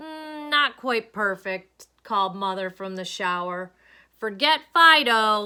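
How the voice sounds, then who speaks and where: Using a put-on character voice, a woman speaks fairly slowly at a fairly high pitch, with very wide pitch swings and big swings in loudness. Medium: read story.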